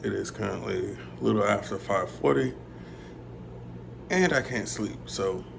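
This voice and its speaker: A man talks at a fairly slow pace. He leaves long, frequent pauses. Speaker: visually impaired gamer vlogger. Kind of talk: casual talk to camera.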